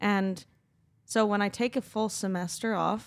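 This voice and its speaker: In a very clean recording with a silent background, a woman uses an unremarkable speaking voice with ordinary pitch variation. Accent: Canadian. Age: 20s. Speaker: professional ski jumper. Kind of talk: casual interview.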